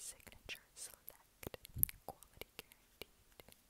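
Very slowly, a woman delivers her words in a whisper. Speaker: ASMR creator. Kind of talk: ASMR whisper ramble. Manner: whispered. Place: home room. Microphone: earbuds.

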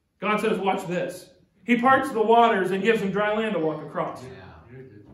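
The man's voice sits high in pitch at a moderate pace. Audible room echo surrounds it. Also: ordinary pitch variation. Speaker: pastor. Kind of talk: church sermon. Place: church. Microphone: podium.

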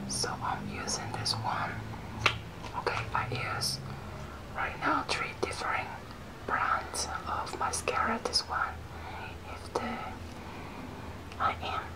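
Through loud background noise, a woman speaks at a very slow pace with long, frequent pauses. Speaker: ASMR makeup tutorial host. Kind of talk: whispered ASMR makeup tutorial. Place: home room. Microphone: phone near.

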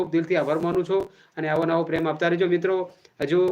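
A man is talking. His voice sits high in pitch. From Gujarat, Banaskantha, Vav taluka. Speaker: YouTuber and local political worker. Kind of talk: live stream address to viewers.

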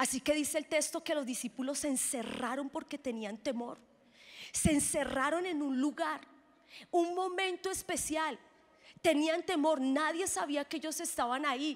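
This woman has a high voice with ordinary pitch variation and an animated tone. She speaks at a fairly slow pace. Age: 30s. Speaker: pastor. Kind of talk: sermon. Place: stage. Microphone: handheld.

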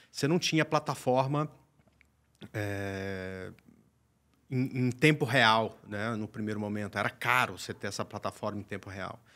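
A man's fairly low-pitched voice, bright and sharp in tone, at a fairly slow pace with long, frequent pauses. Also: ordinary pitch variation. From Brazil. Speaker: day trader and trading teacher; guest. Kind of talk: tutorial; interview answer. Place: studio. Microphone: studio mic.

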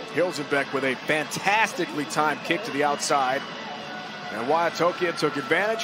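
A man talks at a moderate speed with an animated tone, and noticeable background noise can be heard. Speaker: play-by-play commentator. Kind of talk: live rugby play-by-play commentary. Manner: animated, punchy short phrases.

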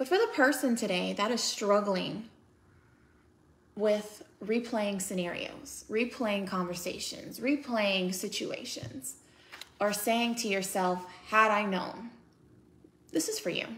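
With an American accent, a woman at medium pitch talks at a very slow pace with long, frequent pauses against light background noise. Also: ordinary pitch variation. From United States. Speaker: author and speaker. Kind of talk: casual talk to camera, encouraging and reflective. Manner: warm, sincere. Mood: calm, gentle, encouraging. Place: home room. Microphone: phone near.

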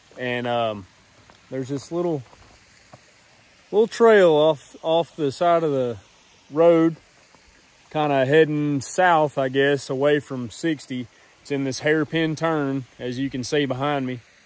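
The speaker goes at a fairly slow pace with ordinary pitch variation and long, frequent pauses, in a dry sound with no echo. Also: man. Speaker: off-road trail vlogger. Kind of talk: casual vlog chat. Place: forest. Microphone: phone near.

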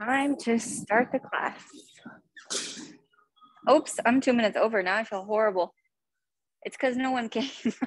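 In a quiet background with a dry, echo-free sound, a woman speaks at a high pitch and a fairly slow pace, with ordinary pitch variation and long, frequent pauses. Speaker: fitness instructor. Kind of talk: casual talk to class before starting. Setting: video call. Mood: light, self-deprecating. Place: gym. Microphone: video call.

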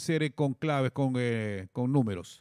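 A man talks at a very slow pace with lively intonation. The background is quiet and the sound is dry, with no echo. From Ecuador. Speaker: radio host. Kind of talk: interview. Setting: studio. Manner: halting. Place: studio. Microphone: studio mic.

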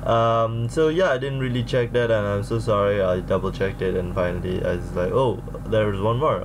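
A man talks at a fairly quick pace with hardly any pauses and ordinary pitch variation. Background noise is noticeable. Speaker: reaction video host. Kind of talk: casual vlog chat. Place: home room.

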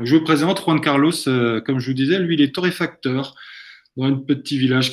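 The man talks at a fairly quick pace. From Brittany, France. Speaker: coffee entrepreneur, webinar co-host; webinar co-host. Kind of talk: webinar presentation. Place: home room. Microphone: video call.

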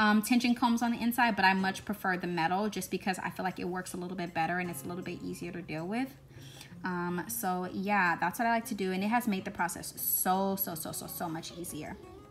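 Faint music plays behind a woman who talks at a fairly quick pace with ordinary pitch variation. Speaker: hair vlogger. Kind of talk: tutorial voice-over.

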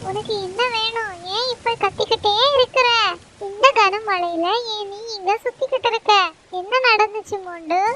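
A woman's cartoonish character voice at an extremely high pitch, fairly slow pace and fairly even intonation, with big swings in loudness and a dry, close sound with no echo

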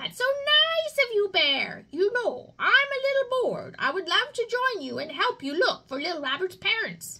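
Using a put-on character voice, a woman projects loudly at an extremely high pitch with very wide pitch swings. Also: moderate pace. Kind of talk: children's storytime reading.

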